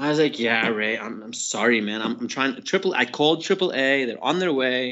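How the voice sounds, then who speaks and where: A plain, everyday voice with ordinary pitch variation, moving at a fairly quick speed. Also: man, medium pitch for a man. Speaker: skydiving drop zone owner. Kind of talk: casual chat.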